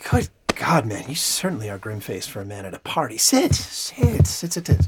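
A man's put-on character voice, husky with a rough edge and very wide pitch swings. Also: medium pitch for a man, moderate pace.

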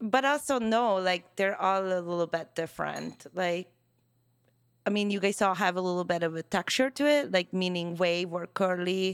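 A woman with a Hungarian accent speaks at a medium pitch and a moderate pace, with ordinary pitch variation. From Hungary. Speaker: hairstylist. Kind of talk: casual chat. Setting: studio.

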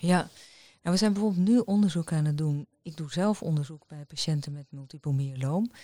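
Her voice is fairly low in pitch with a dark, mellow tone, as a woman speaks at a moderate pace with ordinary pitch variation and big swings in loudness, captured in a dry, close sound with no echo on a very clean recording with a silent background. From Netherlands, rural polder. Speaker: hematologist and professor. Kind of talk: interview. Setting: hospital office.

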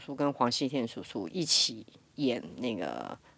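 Speaking with a Taiwanese accent, a woman with a very deep, low pitch shows vocal fry and ordinary pitch variation on a very clean recording with a silent background. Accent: Taiwanese Mandarin. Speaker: voice actor. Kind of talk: casual chat.

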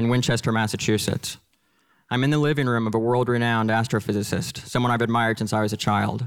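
Speaking at a fairly quick pace with an American accent, a man with a medium pitch and a normal speaking voice keeps his loudness very even. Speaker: storyteller. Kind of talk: personal story told on stage. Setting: stage with audience.

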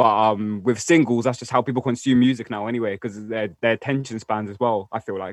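Speaking with a London accent, a man at medium pitch moves at a fairly quick pace with hardly any pauses and fairly even intonation. The sound is dry and close, with no echo. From North West London. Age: 20s. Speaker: rapper. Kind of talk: casual chat.

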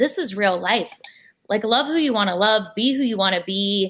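Here is a woman with a normal speaking voice and ordinary pitch variation. She talks at a moderate pace over a quiet background. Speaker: athlete's wife. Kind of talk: interview. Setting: video call.

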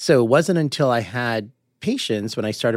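A man speaks with an American accent at a fairly quick pace. The recording is very clean, with a silent background. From Boston area, US. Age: 50s. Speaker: clinical psychologist. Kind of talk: interview. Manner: fast; animated.

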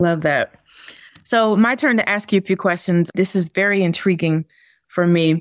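In an unremarkable speaking voice, a woman talks at a moderate pace with medium pitch, ordinary pitch variation and very even loudness, in a dry, close sound with no echo on a very clean recording with a silent background. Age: 40s. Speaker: guest co-host, former school superintendent. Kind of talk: podcast interview and discussion.

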